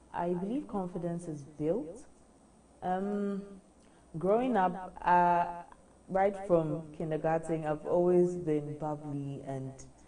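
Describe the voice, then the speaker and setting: A woman at a very slow pace with long, frequent pauses, amid audible room echo. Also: fairly low pitch for a woman, ordinary pitch variation. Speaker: beauty pageant contestant. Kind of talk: interview.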